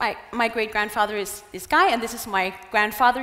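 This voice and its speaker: The recording carries noticeable background noise. A woman with a fairly high voice speaks at a fairly quick pace. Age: 20s. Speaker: travel blogger and motivational speaker. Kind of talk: conference talk. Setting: stage with audience.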